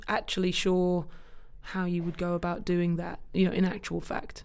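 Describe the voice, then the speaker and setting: A woman speaks with a southern English accent. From England, Cambridge. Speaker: film industry executive, former actor. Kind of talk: interview conversation. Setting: office podcast room.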